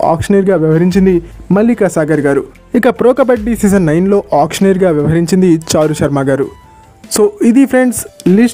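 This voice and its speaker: Background music plays here. Over it, a man's intonation is lively. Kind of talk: sports news explainer to camera. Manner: casual, chatty.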